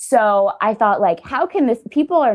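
A woman's moderate-paced speech over a quiet background. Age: 20s. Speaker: author and blogger. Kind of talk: casual chat. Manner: animated.

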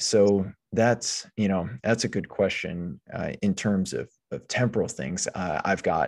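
A man speaks at a fairly slow pace in a very deep, low voice with ordinary pitch variation. The recording is very clean, with a silent background. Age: 30s. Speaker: podcast co-host. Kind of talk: casual chat. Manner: halting, many repeated words.

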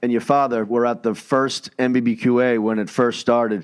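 In an unremarkable speaking voice, a man speaks at a medium pitch and a fairly slow pace against a quiet background. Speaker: podcast co-host. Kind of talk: casual chat.

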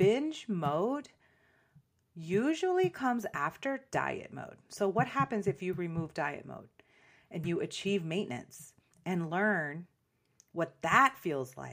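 A woman with a fairly low pitch speaks at a very slow pace, with long, frequent pauses. Her pitch swings very widely, and her loudness shifts a lot. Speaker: fitness and nutrition coach podcast host. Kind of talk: solo podcast monologue. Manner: casual, laughs often.

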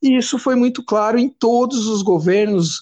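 With ordinary pitch variation, this man talks at a fairly slow pace. Behind him, things are quiet. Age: 40s. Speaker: punk band drummer. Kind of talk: interview.

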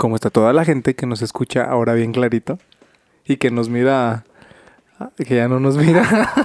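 The speech moves at a moderate pace with ordinary pitch variation. The sound is dry and close with no echo, and there are long, frequent pauses. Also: man, medium pitch for a man. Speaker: podcast host. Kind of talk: casual chat.

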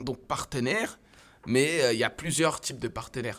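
Here is a man with a normal speaking voice. He talks at a fairly quick pace with ordinary pitch variation. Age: 30s. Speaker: startup co-founder. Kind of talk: casual interview.

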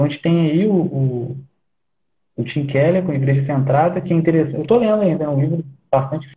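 Talking very fast, a man with a fairly high pitch has a dark, mellow, somewhat breathy tone. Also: ordinary pitch variation. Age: 30s. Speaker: church planter. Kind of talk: casual interview.

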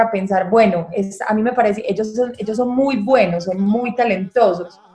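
Against noticeable background noise, a woman with a fairly high pitch talks at a moderate pace with fairly even intonation. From Medellín, Colombia. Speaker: film director. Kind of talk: interview.

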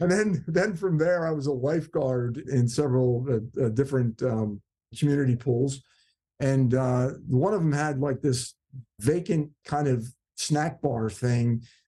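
A man with an American accent, medium pitch and a dark, mellow tone, somewhat breathy, at a fairly slow pace with ordinary pitch variation and very even loudness. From South Jersey, US. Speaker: actor. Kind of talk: casual chat.

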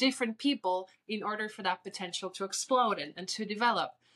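A woman speaks with a Spanish accent at a medium pitch. Her pitch varies in an ordinary way. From Puerto Rico. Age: 30s. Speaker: beauty queen. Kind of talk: interview.

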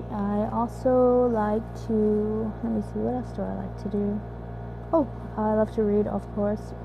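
A woman with a Korean accent speaks at a fairly slow pace over noticeable background noise. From South Korea, Busan. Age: 20s. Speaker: university student and amateur podcaster. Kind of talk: casual monologue.

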